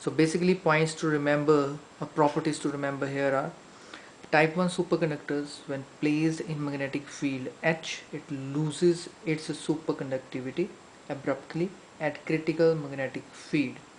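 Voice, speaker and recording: The speech, in an Indian accent, moves at a moderate pace. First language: Hindi. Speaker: science teacher. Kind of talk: lecture. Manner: hesitant fillers.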